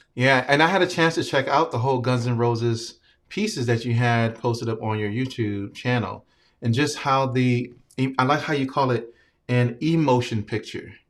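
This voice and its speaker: Music plays behind a man speaking at a medium pitch. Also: ordinary pitch variation, moderate pace. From Virginia. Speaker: podcast host. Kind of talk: interview conversation.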